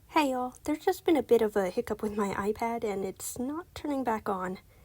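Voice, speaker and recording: A woman talks fairly quickly in a normal speaking voice, fairly high in pitch, with lively intonation. The recording is very clean, with a silent background. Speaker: amateur artist. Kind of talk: casual art tutorial talk.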